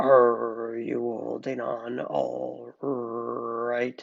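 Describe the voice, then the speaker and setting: A man growls in a gruff, put-on character voice. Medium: read story. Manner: gruff, terse.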